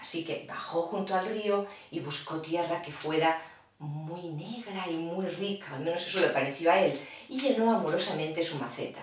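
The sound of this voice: A woman with fairly low pitch speaks at a moderate pace with few pauses and ordinary pitch variation, over faint background noise.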